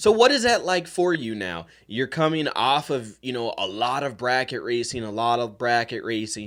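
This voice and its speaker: A man with an unremarkable speaking voice talks at a medium pitch and moderate pace, with lively intonation. He leaves hardly any pauses, and the recording is very clean with a silent background. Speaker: podcast host. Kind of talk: podcast interview host.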